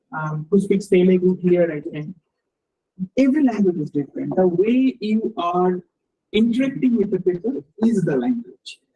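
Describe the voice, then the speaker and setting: The speaker has a Bengali accent. The pace is moderate. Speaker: research scientist. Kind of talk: lecture. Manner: halting, many repetitions and fillers.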